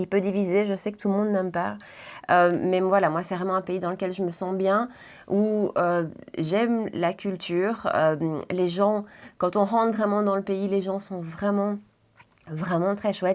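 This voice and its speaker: A woman's medium-pitched voice with a Belgian accent, flat and monotone, broken by long, frequent pauses, on a very clean recording with a silent background. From Belgium, Brussels region. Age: 30s. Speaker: beauty vlogger. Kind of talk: casual chat. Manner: hesitant, many fillers.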